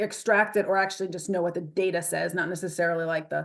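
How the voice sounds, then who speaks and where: Against a quiet background, the speaker moves at a fairly quick pace with fairly even intonation. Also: woman. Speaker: webinar presenter, scientist. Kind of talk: webinar presentation with Q&A. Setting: video call. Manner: fast.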